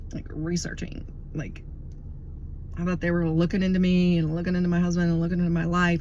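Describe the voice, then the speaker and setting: A woman talks at a very fast pace with a monotone, flat intonation, broken by long, frequent pauses. Room echo is audible. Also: fairly low pitch for a woman. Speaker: religious video blogger. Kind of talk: casual monologue.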